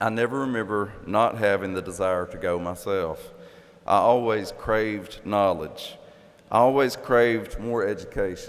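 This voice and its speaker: He speaks with an Appalachian accent. This man's pitch is fairly low. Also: ordinary pitch variation, moderate pace. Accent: Appalachian Kentucky. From southeastern Kentucky. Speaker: commencement speaker, professor. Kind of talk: commencement address. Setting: graduation ceremony in arena.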